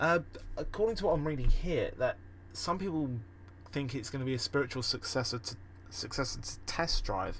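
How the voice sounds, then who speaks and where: Speaking at a fairly quick pace but with long, frequent pauses, a man uses a fairly high pitch, very wide pitch swings and vocal fry. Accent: British. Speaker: gaming podcast host. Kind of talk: casual solo podcast. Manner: halting, many fillers.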